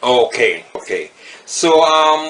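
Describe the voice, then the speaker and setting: A man with a fairly high pitch speaks with fairly even intonation amid noticeable background noise. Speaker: community interviewer. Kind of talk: interview. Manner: halting.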